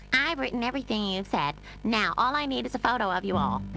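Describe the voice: A female-sounding cartoonish character voice at a medium pitch races along at a very fast pace. Clear music plays in the background.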